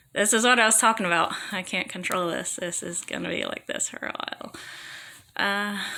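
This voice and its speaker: Amid noticeable background noise, a woman speaks at medium pitch and a moderate pace with fairly even intonation. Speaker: vlogger talking about own illness. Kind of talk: personal testimony. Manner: halting, repeating words.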